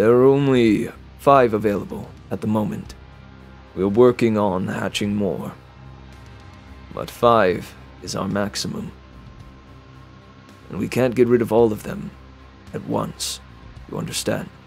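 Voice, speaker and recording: A man's put-on character voice with long, frequent pauses and clear music in the background. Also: medium pitch for a man, moderate pace. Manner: measured, secretive, cold.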